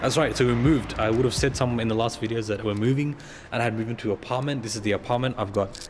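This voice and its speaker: A man with an Australian accent talks at a very fast pace with fairly even intonation over noticeable background noise. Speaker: car enthusiast vlogger. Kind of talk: casual vlog.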